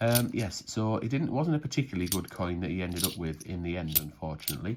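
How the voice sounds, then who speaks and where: Someone speaks at a very fast pace with a northern English accent. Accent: northern English, broad. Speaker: coin collecting youtuber. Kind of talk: casual commentary while sorting coins. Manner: casual, conversational.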